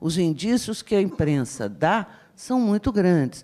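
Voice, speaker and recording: A woman speaks in a dark, mellow tone with very wide pitch swings at a fairly slow pace. The recording is very clean with a silent background. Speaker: university professor. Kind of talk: panel talk.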